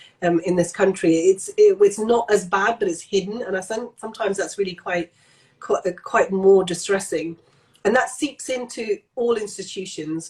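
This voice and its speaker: A woman with a British accent speaks at medium pitch. Her pace is moderate and her pitch varies in an ordinary way. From Pakistan (Lahore), moved to UK at nine. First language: Punjabi. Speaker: general practitioner. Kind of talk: casual interview chat. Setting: Instagram Live video chat.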